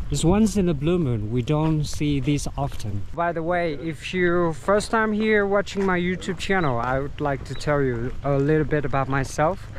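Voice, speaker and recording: At a moderate pace with hardly any pauses, a man with a fairly high pitch speaks in lively tones amid audible room echo. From Vietnam. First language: Vietnamese. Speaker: tour guide and travel vlogger. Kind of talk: travel vlog narration. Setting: outdoors, hiking. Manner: hesitant, many fillers.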